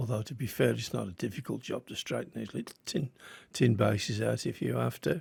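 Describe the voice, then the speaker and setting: Speaking at a fairly quick pace with a strong English Midlands accent, a man is heard on a very clean recording with a silent background. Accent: Midland English, strong. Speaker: die-cast model restorer, YouTuber. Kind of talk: hobby tutorial narration. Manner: casual, slightly halting.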